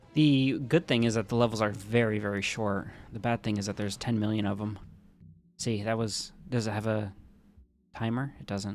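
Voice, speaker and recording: A man with an American accent speaks at a moderate pace and a fairly low pitch, with fairly even intonation. His speech has long, frequent pauses, and music plays in the background. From rural US. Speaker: gaming streamer. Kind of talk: casual live-stream commentary.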